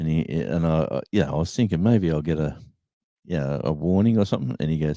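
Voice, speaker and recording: A man with an Australian accent talks very fast in a very deep, low pitch with ordinary variation. His tone is dark and mellow, on a very clean recording with a silent background. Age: 60s. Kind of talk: casual chat.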